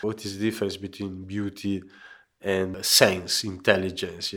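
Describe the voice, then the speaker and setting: A man with an Italian accent speaks in monotone, flat intonation in a very clean recording with a silent background. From Genoa, Italy. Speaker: pebble mosaic artist. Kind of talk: interview. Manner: halting.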